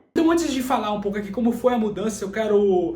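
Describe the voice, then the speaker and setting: A man with a high pitch talks at a very fast pace. Audible room echo and noticeable background noise fill the recording. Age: 20s. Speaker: personal development YouTuber. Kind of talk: personal vlog talk to camera. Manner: casual.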